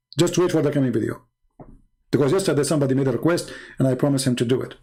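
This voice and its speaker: The man's pitch moves up and down in an ordinary way. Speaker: religious debater reacting to a debate video. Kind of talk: live-stream reaction commentary. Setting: live stream. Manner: animated, mocking.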